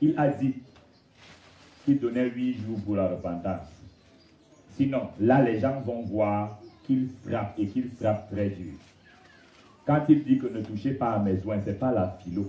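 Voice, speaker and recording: A man's fairly low voice with ordinary pitch variation, very slow and broken by long, frequent pauses, with audible room echo. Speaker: pastor. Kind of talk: sermon. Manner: animated.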